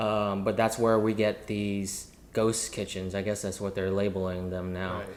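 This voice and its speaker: Amid audible room echo, a man with an American accent talks at a moderate pace in a monotone, flat intonation. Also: fairly low pitch for a man. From US South. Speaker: chef and entrepreneur. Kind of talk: casual chat.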